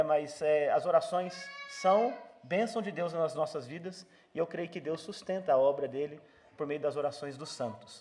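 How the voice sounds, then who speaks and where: There is noticeable background noise. Over it, a man speaks in a high voice. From Brazil. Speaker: visiting pastor. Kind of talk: church greeting and prayer. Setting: church. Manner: hesitant, many fillers.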